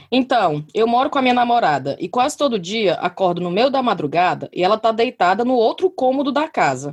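A woman's fairly high voice with vocal fry and very wide pitch swings, at a moderate pace over a quiet background. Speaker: podcast host. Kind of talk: casual chat. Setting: video call.

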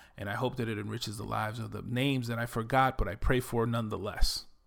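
Recorded very cleanly with a silent background, a man with a New York accent talks quickly at a medium pitch, with fairly even intonation and vocal fry. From Bronx, New York. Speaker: podcaster and digital marketing entrepreneur. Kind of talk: solo podcast monologue, personal introduction. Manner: confident, self-assured.

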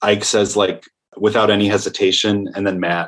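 In a very clean recording with a silent background, a man with an American accent speaks at fairly low pitch in a monotone, flat intonation. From Michigan, near Grand Rapids. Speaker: film director. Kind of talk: interview.

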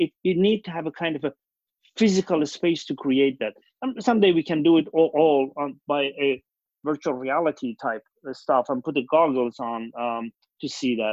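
Speaking with a Persian accent, a man uses a fairly high pitch. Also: ordinary pitch variation, moderate pace. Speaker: company founder and CEO. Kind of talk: casual interview conversation. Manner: halting, with many fillers.

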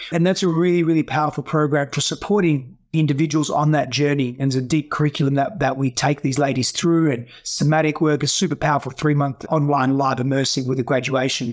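A man's fairly high-pitched voice moves at a very fast pace. He takes hardly any pauses. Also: fairly even intonation, very even loudness. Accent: Australian. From Australia. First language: Greek. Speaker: breathwork and healing coach.

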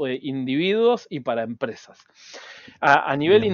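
An ordinary speaking voice from a man, fairly high in pitch, with ordinary pitch variation at a moderate pace. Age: 40s. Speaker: cybersecurity entrepreneur. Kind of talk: interview.

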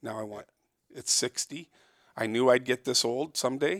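In a Canadian accent, a man uses an ordinary speaking voice at medium pitch with ordinary pitch variation, the sound dry and close with no echo. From Toronto, Canada. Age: 60s. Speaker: fur trapper. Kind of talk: casual interview. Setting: in person, downtown Toronto.

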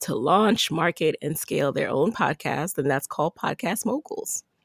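Heard as a dry, close sound with no echo, a woman with an ordinary speaking voice talks at a moderate pace and a fairly low pitch. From Jamaica, raised in the Bronx, New York. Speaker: entrepreneur and podcast host. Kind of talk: interview.

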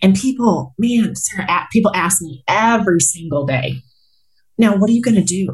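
The speaker has lively intonation and vocal fry at a moderate pace. Long pauses come often. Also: woman, medium pitch for a woman. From Colorado, US. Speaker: healthcare executive and motivational speaker. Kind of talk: casual interview conversation.

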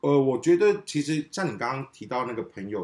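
Very wide pitch swings from a man speaking at a fairly quick pace. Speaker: podcast guest, friend of a host. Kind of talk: casual chat. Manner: loud.

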